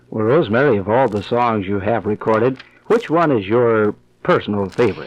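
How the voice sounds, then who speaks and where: At a fairly quick pace, a man speaks in a plain, everyday voice at medium pitch with ordinary pitch variation. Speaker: radio personality. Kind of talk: radio interview questions.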